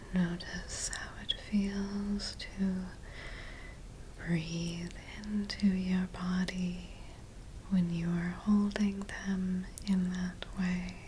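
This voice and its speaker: Soft-spoken and calm, the speaker goes very slowly with long, frequent pauses over noticeable background noise. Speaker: licensed mental health therapist, ASMR guide. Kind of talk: guided somatic grounding exercise, ASMR. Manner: soft-spoken, calm, slow.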